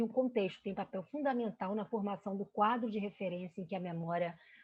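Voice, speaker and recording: Somewhat breathy, this speaker keeps a moderate pace and ordinary pitch variation. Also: woman. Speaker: researcher presenting study. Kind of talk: academic lecture presentation. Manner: hesitant with fillers.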